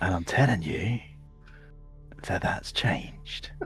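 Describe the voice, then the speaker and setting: A man's put-on character voice at a fairly slow pace, with clear music in the background. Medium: actual play.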